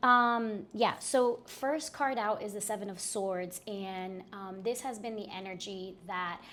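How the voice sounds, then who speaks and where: A plain, everyday voice from a woman, medium in pitch with ordinary pitch variation. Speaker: tarot reader. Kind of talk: tarot reading monologue. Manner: casual with many fillers.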